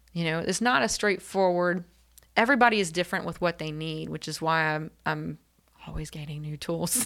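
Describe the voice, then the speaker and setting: A woman with an American accent and a plain, everyday voice, at a fairly quick pace with ordinary pitch variation, on a very clean recording with a silent background. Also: fairly low pitch for a woman. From North Carolina (Elizabeth City). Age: 40s. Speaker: therapist. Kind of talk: interview.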